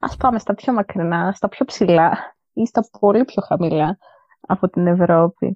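In an unremarkable speaking voice, the speaker goes at a fairly slow pace with ordinary pitch variation. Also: woman, medium pitch for a woman. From Greece. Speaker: student traveler. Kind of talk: interview.

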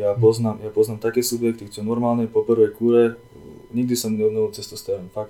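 A man with a dark, mellow tone talks fairly quickly at medium pitch in a flat monotone. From eastern Slovakia, Prešov region. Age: 20s. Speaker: fitness coach and project manager. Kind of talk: casual chat.

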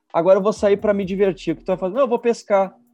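Against music in the background, a man with a high pitch talks in an animated tone. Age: 20s. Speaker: pastor. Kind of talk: casual chat.

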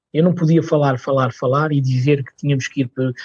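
The sound is dry and close with no echo. A man of medium pitch speaks in a somewhat breathy voice with fairly even intonation. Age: 40s. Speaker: cultural mediator. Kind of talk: interview. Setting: studio.

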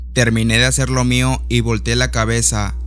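Background noise is clearly audible. Through it, a man talks at a moderate pace. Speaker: podcaster telling a personal story. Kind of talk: ghost story telling, first-person spooky tale told as a true experience.

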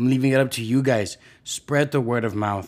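The intonation is fairly even on a very clean recording with a silent background. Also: man. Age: 20s. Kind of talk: casual solo monologue. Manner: hesitant, many fillers.

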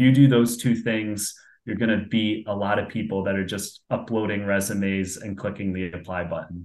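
A man's fairly low, fairly even-toned voice, a plain, everyday voice. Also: moderate pace. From upstate New York, Binghamton. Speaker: career coach and sales manager. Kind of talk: interview.

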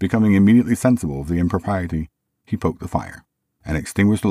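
The clip has plain reading aloud, and the background is quiet.

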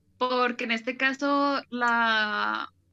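A woman talks with a fairly high pitch. Music can be heard behind her. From Guadalajara, Mexico. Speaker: podcast co-host. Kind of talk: casual chat with storytelling.

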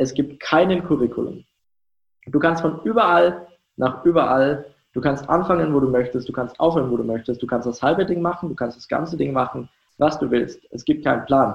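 A man talks at a fairly quick pace with vocal fry. His pitch sits fairly high, with ordinary pitch variation. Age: 20s. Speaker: startup founder. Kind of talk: interview.

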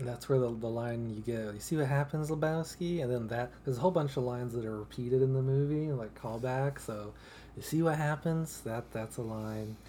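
An unremarkable speaking voice moves at a fairly quick pace with ordinary pitch variation. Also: man, medium pitch for a man. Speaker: podcast co-host. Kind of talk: casual chat.

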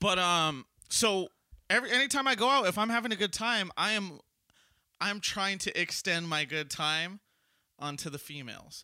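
With an American accent, a man talks in a high pitch at a moderate pace, his raised, projected voice bright and sharp in tone, his intonation lively, and his pauses long and frequent. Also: very clean recording, silent background. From Southern California. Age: 20s. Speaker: podcast host. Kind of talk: casual chat.

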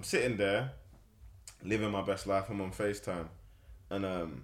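A man talks at a moderate pace with a fairly low pitch. His voice has vocal fry. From London, Hoxton. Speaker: musician and poet. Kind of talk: interview. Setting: studio.

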